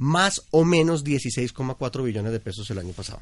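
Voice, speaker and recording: Against a quiet background, a man with a medium-pitched, somewhat breathy voice is heard. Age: 40s. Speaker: behavioral economist, consumer analyst. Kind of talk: podcast interview.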